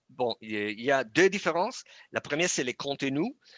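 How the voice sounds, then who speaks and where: Dry and close with no echo, the recording has a quiet background. A man speaks at medium pitch and a moderate pace, his intonation lively. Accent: non-native. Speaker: product manager presenting software. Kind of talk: webinar presentation and Q&A. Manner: halting, many hesitations.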